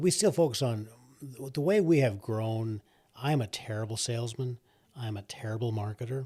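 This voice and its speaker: Somewhat breathy and medium in pitch, a man speaks with ordinary pitch variation on a very clean recording with a silent background. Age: 60s. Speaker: coffee roaster and business owner. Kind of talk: podcast interview. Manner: hesitant, many fillers.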